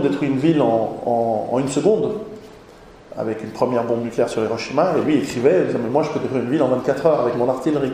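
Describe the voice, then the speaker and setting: A man speaks at a very fast pace. Audible room echo and noticeable background noise fill the recording. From Switzerland. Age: 40s. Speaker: author and lecturer. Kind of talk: lecture. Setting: conference hall with audience. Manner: halting, many repetitions.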